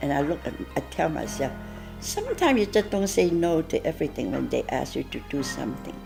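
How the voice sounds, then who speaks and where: With music playing behind her, a woman is talking. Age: 90s. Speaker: community fundraiser and volunteer. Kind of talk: interview answer.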